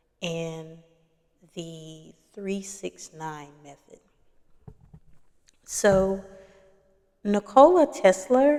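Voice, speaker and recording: A soft-spoken woman's voice, dark and mellow in tone, medium in pitch, with very wide pitch swings, a very slow pace and long, frequent pauses. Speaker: doula and spiritual content creator. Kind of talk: casual talk to camera.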